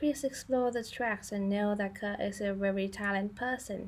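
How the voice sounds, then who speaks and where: A woman talks at a moderate pace in a medium pitch, her voice somewhat breathy with ordinary pitch variation. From Thailand. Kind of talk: biography narration. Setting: home recording, poor audio quality.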